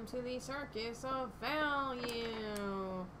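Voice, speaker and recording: A woman's high-pitched, put-on character voice against loud background noise. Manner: carnival vending machine voice.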